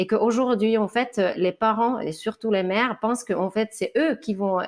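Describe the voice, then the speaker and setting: A woman's fairly high voice holds fairly even intonation at a moderate pace. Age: 30s. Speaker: author on anti-sexist parenting. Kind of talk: interview. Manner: hesitant, many fillers.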